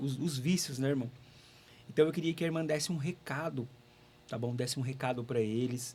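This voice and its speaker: A man speaks at a fairly quick pace with a medium pitch, somewhat breathy, and ordinary pitch variation. Long pauses come often. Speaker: radio host. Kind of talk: interview.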